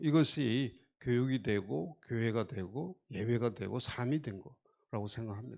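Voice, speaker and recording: Speaking very slowly, a man with a Gyeongsang accent has a dark, mellow tone. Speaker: foundation committee chair, doctor. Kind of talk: onstage interview talk.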